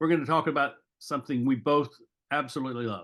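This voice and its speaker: Against a quiet background, a man speaks in a plain, everyday voice at a fairly quick pace, fairly high in pitch with ordinary pitch variation. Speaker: podcast host. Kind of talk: podcast interview.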